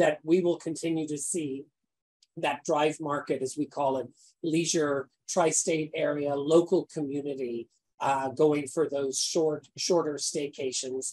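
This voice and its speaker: Speaking at a fairly slow pace, a man with an American accent has a fairly high pitch. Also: fairly even intonation. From west of Ireland. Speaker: hotel general manager. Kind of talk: panel discussion.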